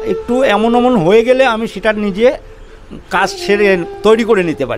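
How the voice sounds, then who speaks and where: With music in the background, a man speaks in a high pitch. His intonation is lively. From Bangladesh. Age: 50s. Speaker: folk musician and coconut seller. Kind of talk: interview storytelling.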